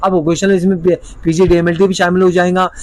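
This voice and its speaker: A man with a high pitch at a moderate pace. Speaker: lawyer and legal consultant. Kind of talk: informational video explainer.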